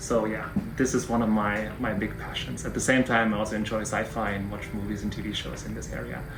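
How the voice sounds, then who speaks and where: With music in the background and audible room echo, a man with a German accent talks at a fairly quick pace. His fairly low voice stays monotone and flat. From Germany. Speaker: professor. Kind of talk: interview. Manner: halting, frequent fillers.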